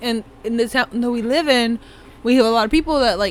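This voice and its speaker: With ordinary pitch variation and a moderate speed, this is an ordinary speaking voice. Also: woman. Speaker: podcast co-host. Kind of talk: casual chat.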